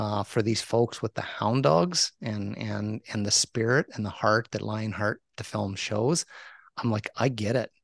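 Against a quiet background with a dry, close sound and no echo, a man with a plain, everyday voice speaks fairly low and fairly slowly, with ordinary pitch variation. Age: 50s. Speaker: hunting conservationist and podcaster. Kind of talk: casual interview.

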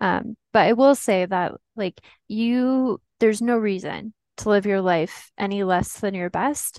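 A woman with an unremarkable speaking voice at a medium pitch, with ordinary pitch variation and a fairly slow pace, in a dry, close sound with no echo and a quiet background. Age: 20s. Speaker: patient sharing illness story. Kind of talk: personal testimony.

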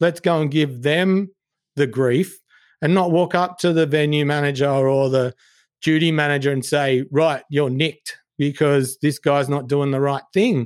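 A man with an Australian accent speaks fairly slowly at a fairly high pitch, his intonation fairly even and his loudness very even. The recording is very clean with a silent background. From Sydney, southwest. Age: 40s. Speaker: singer and entertainment manager. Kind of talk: casual chat.

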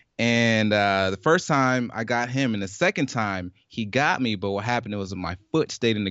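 With an American accent, a man talks with hardly any pauses and ordinary pitch variation. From US South. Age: 20s. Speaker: medical student. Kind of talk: casual interview. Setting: in-person conversation.

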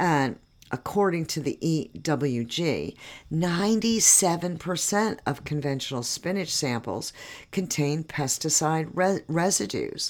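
A woman with a very deep, low voice speaks at a fairly slow pace in an animated tone. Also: very clean recording, silent background. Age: 60s. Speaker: podcast host, organic farmer. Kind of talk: solo podcast monologue. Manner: conversational, animated.

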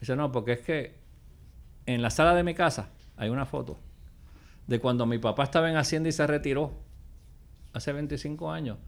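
This man talks at a fairly quick pace with vocal fry. His pitch varies in an ordinary way. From Puerto Rico. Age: 60s. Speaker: former government official. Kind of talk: interview. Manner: casual.

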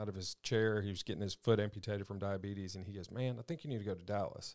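This man speaks very fast in a fairly low voice, his intonation fairly even. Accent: Southern US. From Mississippi, Madison. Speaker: faith-based recovery ministry leader. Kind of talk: testimony.

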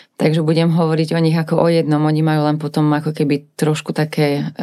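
At a fairly quick pace, a woman with a very deep, low pitch speaks in a dark, mellow tone. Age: 30s. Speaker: cosmetics brand co-founder. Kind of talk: casual interview chat.

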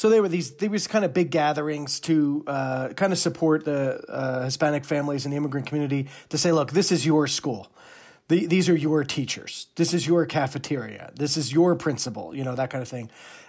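In a New Jersey accent, a man of fairly high pitch speaks at a fairly quick pace with ordinary pitch variation, on a very clean recording with a silent background. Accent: New Jersey East Coast. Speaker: Presbyterian minister. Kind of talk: interview conversation.

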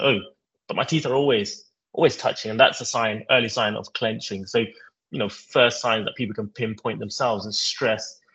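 Here a man talks at a fairly quick pace. He has an ordinary speaking voice. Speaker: dentist and tech entrepreneur. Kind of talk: casual interview chat.

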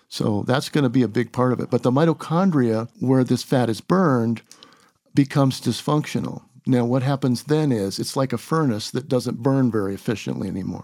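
Fairly quick pace and ordinary pitch variation on a very clean recording with a silent background. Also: man, medium pitch for a man. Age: 60s. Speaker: applied scientist and health coach. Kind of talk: interview conversation.

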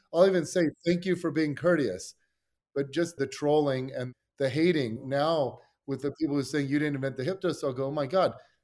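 An unremarkable speaking voice: a man with a fairly high pitch and ordinary pitch variation talks at a fairly quick pace on a very clean recording with a silent background. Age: 40s. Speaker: fitness coach and sports scientist. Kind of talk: casual chat.

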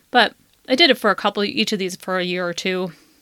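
With a Chicago accent, a woman's bright, sharp tone comes through in a dry, close sound with no echo. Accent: Chicago American English. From US Midwest, Chicago western suburbs. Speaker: podcast host. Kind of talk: casual monologue.

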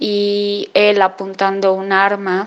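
Her voice sits at a medium pitch. The speaker is a woman. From Mexico. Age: 20s. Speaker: theatre audience member. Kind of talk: recorded testimony. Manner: hesitant, many fillers.

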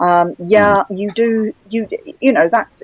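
In a British accent, a woman speaks at a moderate pace with fairly even intonation, the sound dry and close with no echo. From England. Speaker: author. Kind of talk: casual interview conversation.

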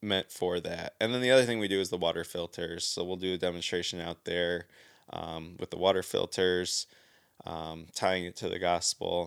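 With an American accent, a man speaks at a moderate pace and a very deep, low pitch, recorded very cleanly with a silent background and a dry, close sound with no echo. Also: fairly even intonation. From Southeast Michigan, US. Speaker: church deacon and worship musician. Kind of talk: casual chat.

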